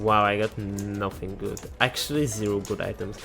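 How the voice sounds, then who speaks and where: Music plays in the background as a man speaks. He has a non-native accent and a medium pitch. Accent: non-native English, noticeable. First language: not English. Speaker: gaming youtuber. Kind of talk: gameplay commentary. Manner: halting, with self-corrections.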